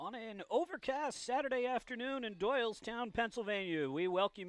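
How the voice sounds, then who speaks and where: The recording is dry with no echo as a man talks at a moderate pace. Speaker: sports play-by-play announcer. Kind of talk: commentary. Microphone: headset.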